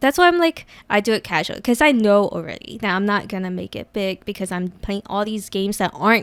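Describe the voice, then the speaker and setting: A woman at a medium pitch, fairly quick and with lively intonation, in a very clean recording with a silent background and a dry, close sound with no echo. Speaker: casual Twitch streamer, podcast guest. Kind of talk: casual chat. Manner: soft-spoken.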